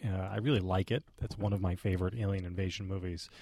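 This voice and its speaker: The speaker talks at a very fast pace with a somewhat breathy voice. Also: man. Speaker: podcast co-host and film commentator. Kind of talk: casual chat. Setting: studio.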